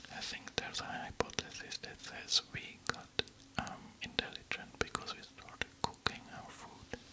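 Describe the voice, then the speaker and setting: A man whispers, soft-spoken, at a moderate pace. Loud background noise fills the recording. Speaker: relaxation video host. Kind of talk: soft-spoken fact reading. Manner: close, soft ASMR whisper. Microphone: studio mic.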